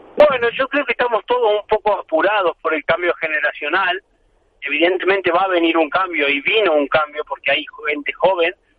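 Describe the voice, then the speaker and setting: This man speaks with a high voice and ordinary pitch variation. His pace is moderate. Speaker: professional padel player. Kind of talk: interview. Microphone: poor mobile coverage.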